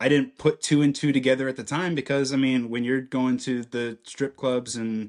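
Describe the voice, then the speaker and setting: With an American accent, a man speaks in a monotone, flat intonation with hardly any pauses. The background is quiet. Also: medium pitch for a man, moderate pace. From central Illinois. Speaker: podcast guest sharing life story. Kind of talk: testimony.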